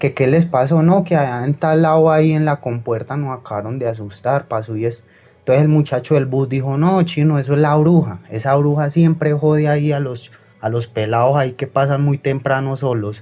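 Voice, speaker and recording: The man's tone is dark and mellow, his pitch fairly high, and his tempo moderate. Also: ordinary pitch variation. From Colombia, Tolima (Ambalema). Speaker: caller. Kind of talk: phone-in story.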